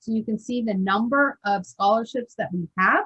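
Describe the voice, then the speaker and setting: The sound is dry and close, with no echo. Delivery comes at a moderate pace with ordinary pitch variation. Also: woman. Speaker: scholarship program trainer. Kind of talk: training presentation over video call. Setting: video call.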